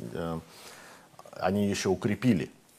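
Speaking at a fairly slow pace, a man uses a very deep, low voice with a dark, mellow tone. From Moscow, Russia. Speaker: retired US Navy captain, commentator. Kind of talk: TV interview about politics. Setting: TV studio in Kyiv. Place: studio. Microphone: lapel.

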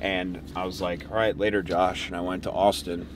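Noticeable background noise accompanies a man's voice in a dry sound with no echo. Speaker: fitness coach vlogger. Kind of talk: casual vlog chat. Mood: reflective, excited. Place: car.

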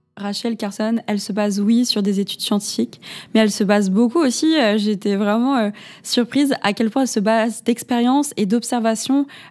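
A woman speaks in an ordinary speaking voice at a moderate pace, fairly high in pitch. Her intonation stays fairly even on a very clean recording with a silent background. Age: 20s. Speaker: podcast host. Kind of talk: interview.

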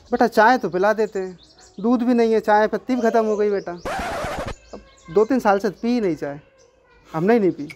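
There is noticeable background noise as a man speaks at a high pitch. His pace is moderate and his pitch varies in an ordinary way. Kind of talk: scripted comedic dialogue. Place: street.

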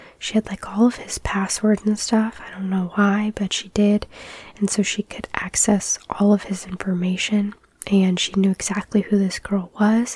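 Soft-spoken and at a medium pitch, a woman talks fairly slowly in a flat monotone against noticeable background noise. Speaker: ASMR true crime storyteller. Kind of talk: casual true crime storytelling.

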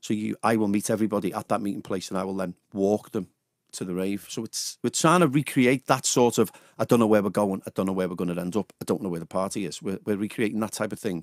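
A man with a Liverpool accent at a very fast pace, fairly low in pitch with ordinary pitch variation, in a dry sound with no echo and a quiet background. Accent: Liverpool (Scouse). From Liverpool, England. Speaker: radio DJ. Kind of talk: personal testimony in a radio interview. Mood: candid, reflective about addiction. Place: studio. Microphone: studio mic.

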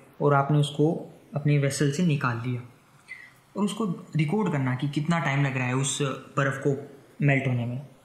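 A man speaks in a fairly high voice with ordinary pitch variation and long, frequent pauses, while noticeable background noise runs behind him. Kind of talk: educational science podcast talk. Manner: unscripted, some stammering.

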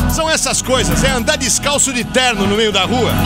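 A man talks at a moderate pace over loud music in the background, the sound dry with no echo. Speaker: radio announcer. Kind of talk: radio air check, reflective commentary. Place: studio. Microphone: studio mic.

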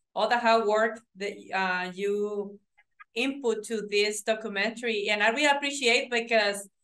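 Her bright, sharp tone sits at a fairly high pitch as this woman speaks with fairly even intonation. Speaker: interview host. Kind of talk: interview question and comment. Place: home room. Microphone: video call.

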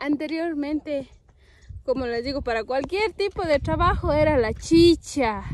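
The delivery is fairly slow with lively intonation. The sound is dry with no echo. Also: woman. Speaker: farm vlogger. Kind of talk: casual vlog chat. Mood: cheerful, laughing. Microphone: phone near.

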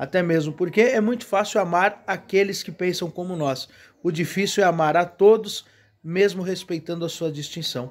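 Speaking at a moderate pace, a man with a Brazilian accent has a high pitch and ordinary pitch variation. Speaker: Umbanda religious leader and video host. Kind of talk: sermon-like reflective talk. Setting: video channel, single speaker. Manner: earnest, preachy, repetitive emphasis; measured, warm, pastoral. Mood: earnest, preaching. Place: garden. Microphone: phone near.

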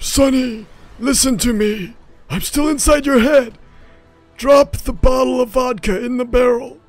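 With faint music in the background, a man at a moderate pace does a put-on character voice at an extremely high pitch. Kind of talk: comic old-man voice.

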